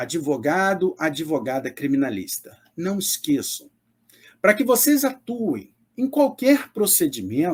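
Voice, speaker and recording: Very slow, high-pitched man's voice with very wide pitch swings, in a very clean recording with a silent background. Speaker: public defender and law professor. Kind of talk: lecture.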